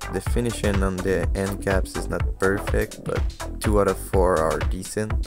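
Clear music sits in the background as the speaker keeps a moderate pace. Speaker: airgun hobbyist. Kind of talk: casual product unboxing review. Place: home room. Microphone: phone near.

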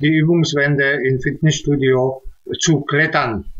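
Over a quiet background, a man with a fairly high pitch speaks at a fairly slow pace. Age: 60s. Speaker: music producer and sound engineer. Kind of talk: testimonial with screen-share tutorial; testimonial talk. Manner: halting, many filler sounds. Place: home room. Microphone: webcam.

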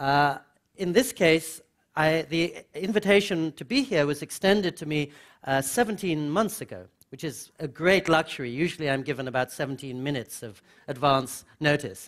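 A man at a moderate pace, big swings in loudness, quiet background. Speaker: speaker. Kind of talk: lecture. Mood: warm, humorous. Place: hall. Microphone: headset.

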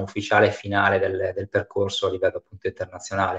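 With a quiet background, a man is heard speaking. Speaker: foundation project manager and webinar moderator; host or moderator of online panel. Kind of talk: webinar moderation. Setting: online webinar. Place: home room. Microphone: connected by mobile phone; video call.

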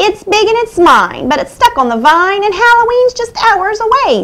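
A woman performs a put-on character voice at an extremely high pitch. She speaks at a moderate pace. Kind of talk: bedtime story. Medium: read story. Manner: irritated, possessive, impatient.

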